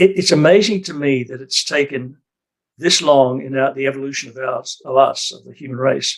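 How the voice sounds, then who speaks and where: With an Australian accent and vocal fry, a man talks at a moderate pace in a fairly high pitch with ordinary pitch variation. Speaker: retired priest. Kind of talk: casual chat. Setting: video call. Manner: halting.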